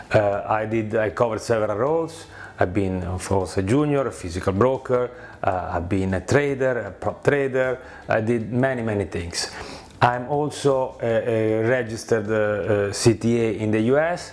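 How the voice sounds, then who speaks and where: A man speaks with a strong Italian accent. Background noise is noticeable. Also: medium pitch for a man, ordinary pitch variation, moderate pace. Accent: thick Italian. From Italy. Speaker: former prop trading company founder. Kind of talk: casual video presentation. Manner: halting with many fillers.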